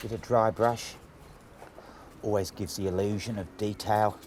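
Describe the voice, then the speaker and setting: A man speaks with an Australian accent. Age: 60s. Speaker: painter. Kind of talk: tutorial. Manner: casual.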